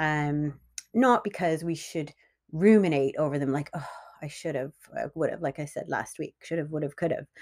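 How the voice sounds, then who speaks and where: A woman speaks with a very deep, low pitch. The recording is very clean, with a silent background. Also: ordinary pitch variation, moderate pace. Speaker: solo podcast host. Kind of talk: personal monologue podcast. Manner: hesitant, many ums and laughs; partly reading from notes.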